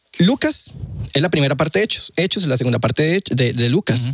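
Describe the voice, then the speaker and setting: In a Costa Rican accent, a man speaks with very wide pitch swings in a dry, close sound with no echo. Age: 20s. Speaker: student, former atheist. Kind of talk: casual chat, testimony.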